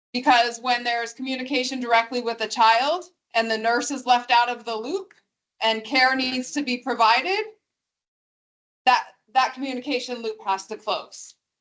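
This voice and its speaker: A woman speaks loudly at a high pitch and a moderate pace. Her pitch varies in an ordinary way, and she leaves long, frequent pauses. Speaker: school district official. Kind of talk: q&a at public meeting. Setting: meeting room with microphone. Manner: formal.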